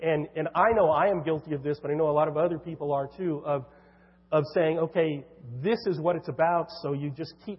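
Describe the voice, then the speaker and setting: Here is an unremarkable speaking voice from a man with fairly high pitch. He talks at a fairly quick pace with ordinary pitch variation. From California. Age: 50s. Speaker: author. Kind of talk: church talk interview.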